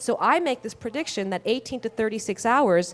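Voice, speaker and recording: A woman speaks with lively intonation in a fairly high pitch. The recording is very clean, with a silent background. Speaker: data visualization researcher. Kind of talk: conference talk. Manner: fast; halting, many fillers and restarts.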